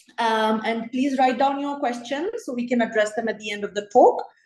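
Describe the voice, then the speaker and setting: Over music in the background, a woman with a high pitch talks with fairly even intonation. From Kenya. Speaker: gynecologist. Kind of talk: lecture.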